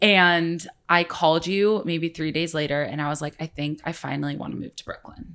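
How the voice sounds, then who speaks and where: A woman with an American accent has an ordinary speaking voice and a fairly low pitch. She keeps a moderate pace with fairly even intonation and hardly any pauses. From US, Orange County. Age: 20s. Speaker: food blogger. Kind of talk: casual chat.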